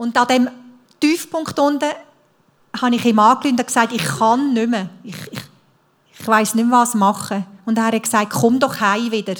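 A woman's fairly high voice with long, frequent pauses. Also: ordinary pitch variation, moderate pace. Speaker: speaker sharing life testimony. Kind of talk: testimony.

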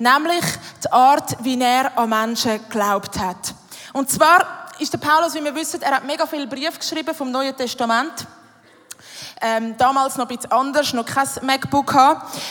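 A woman speaks with a Swiss accent at a high pitch. Her pace is moderate and her pitch varies in an ordinary way. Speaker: church youth worker. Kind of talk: sermon. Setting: stage with audience.

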